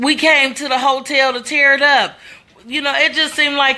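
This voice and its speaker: A woman speaks in a high pitch with a bright, sharp, animated tone. The background is quiet. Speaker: social media commentator. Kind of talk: casual livestream commentary. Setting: Facebook live stream at home. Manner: loud.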